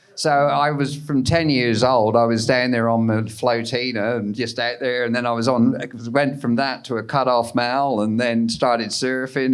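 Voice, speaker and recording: With a Cornish accent, a man speaks at a fairly slow pace. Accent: English (Cornish) accent still present. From Cornwall, England. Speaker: surf photographer. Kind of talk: live podcast interview. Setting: live recording at a festival with audience.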